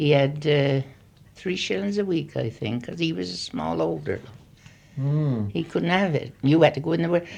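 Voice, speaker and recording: The voice carries vocal fry. Its pitch swings very widely. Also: woman, very deep, low pitch for a woman, moderate pace. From Gloucestershire, England. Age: 80s+. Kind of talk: interview answer. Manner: gentle yet authoritative.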